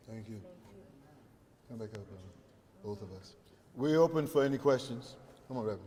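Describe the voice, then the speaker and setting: A man with an American accent speaks at a fairly quick pace in a dark, mellow, somewhat breathy tone, with ordinary pitch variation and big swings in loudness. He leaves long, frequent pauses, and audible room echo surrounds him. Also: medium pitch for a man. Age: 70s. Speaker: pastor and faith leader. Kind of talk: press conference remarks. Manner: preacherly, emphatic.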